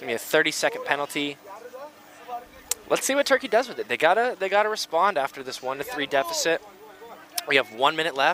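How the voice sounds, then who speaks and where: A man with an American accent talks in a fairly high pitch. There is noticeable background noise. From United States. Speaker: sports commentator. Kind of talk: live commentary.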